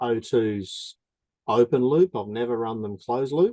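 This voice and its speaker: A man with an Australian accent speaks at medium pitch in a dark, mellow tone. His fairly slow delivery has a dry, close sound with no echo. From Australia, Darwin. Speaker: drag racer. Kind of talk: Q&A with instructor.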